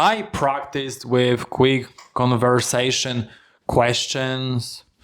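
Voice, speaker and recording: Talking at a very slow pace, a man with a non-native accent keeps a medium pitch. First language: not English. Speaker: language learner vlogger. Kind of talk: personal vlog monologue. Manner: halting.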